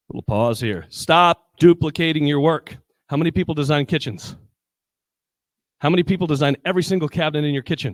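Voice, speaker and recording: At a fairly quick pace, a man speaks with a fairly high pitch and ordinary pitch variation in a dry, close sound with no echo. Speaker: building designer. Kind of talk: conference presentation. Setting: stage with audience. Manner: fast; energetic.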